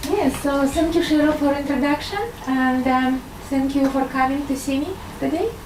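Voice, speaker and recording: A woman at a moderate pace with ordinary pitch variation, audible room echo and noticeable background noise. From Russia. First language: Russian. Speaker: medical doctor and intuitive healer. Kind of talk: talk to an audience. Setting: live audience. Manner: hesitant, many fillers.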